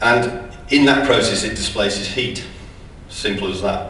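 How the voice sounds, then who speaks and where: Speaking with an English accent at a moderate pace, a man of medium pitch shows ordinary pitch variation amid noticeable background noise and audible room echo. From England. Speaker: sales director giving a conference talk. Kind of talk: conference presentation. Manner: hesitant, many ums.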